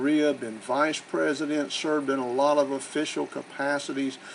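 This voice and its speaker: Amid noticeable background noise, a man speaks in a fairly high pitch with a Southern US accent. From US South. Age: 60s. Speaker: real estate investor and educator. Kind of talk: promotional self-introduction. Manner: casual, conversational.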